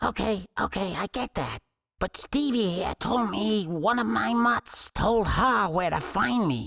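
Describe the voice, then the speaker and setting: A man's put-on character voice, high-pitched with lively intonation, at a fairly slow pace in a dry, close sound with no echo. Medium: audio drama. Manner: nervous, placating.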